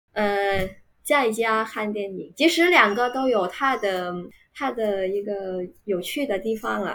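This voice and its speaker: A woman's very slow speech in a Vietnamese accent, with ordinary pitch variation. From Vietnam, Ho Chi Minh City. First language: Vietnamese (speaking Chinese). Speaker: university Chinese teacher. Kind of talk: casual interview chat. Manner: hesitant, many filler sounds.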